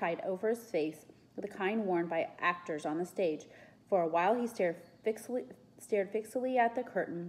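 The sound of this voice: A reading voice, unforced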